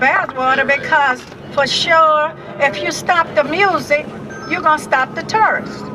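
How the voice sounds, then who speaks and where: A woman's raised, projected voice, high in pitch with lively intonation, over noticeable background noise. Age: 70s. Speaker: council candidate. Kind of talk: rally speech.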